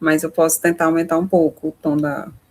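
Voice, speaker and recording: Vocal fry runs through this woman's very deep, low voice as she speaks at a moderate pace. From Maranhão, Brazil (Imperatriz). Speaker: course instructor. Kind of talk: online lecture.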